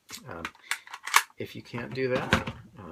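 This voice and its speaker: A quiet man speaks over noticeable background noise. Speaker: prop weapons supplier. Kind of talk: tutorial demonstration.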